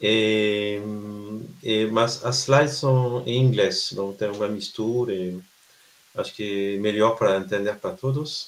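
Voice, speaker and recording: With a French accent, a man speaks at a fairly slow pace, his pitch fairly low and his intonation fairly even. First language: French (speaking Portuguese). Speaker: researcher. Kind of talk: lecture. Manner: halting.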